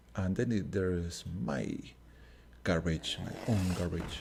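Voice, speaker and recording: A man with a Spanish accent talks in a very deep, low voice that is somewhat breathy. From Uruguay. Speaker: gaming streamer. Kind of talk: gameplay commentary. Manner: halting.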